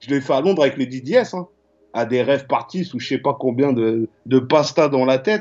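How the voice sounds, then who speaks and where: Lively intonation marks a man's speech. His tempo is moderate. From Paris suburbs (Val-de-Marne, Choisy-le-Roi). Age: 40s. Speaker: graffiti artist and painter. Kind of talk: casual interview chat. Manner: halting, repetitive.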